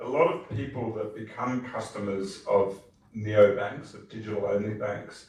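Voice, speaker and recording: With an Australian accent, a man speaks at a moderate pace and fairly low pitch with ordinary pitch variation, amid noticeable background noise and audible room echo. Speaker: tech company executive, conference panelist. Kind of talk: panel discussion.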